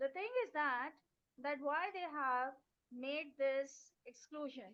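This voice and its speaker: Her pitch high and her pace very slow, a woman speaks with ordinary pitch variation. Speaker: English teacher. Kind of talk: teacher workshop talk. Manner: soft-spoken. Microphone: speaking into phone, too quiet.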